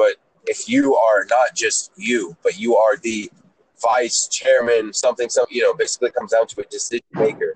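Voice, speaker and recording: At a moderate pace, a man with an American accent speaks in a dry, close sound with no echo. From Atlanta, US South. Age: 20s. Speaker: rapper and music producer. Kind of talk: casual chat. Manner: animated.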